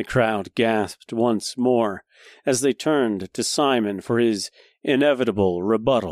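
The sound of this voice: The reading voice sounds unforced, and its pitch varies in an ordinary way. Nothing much is heard behind it.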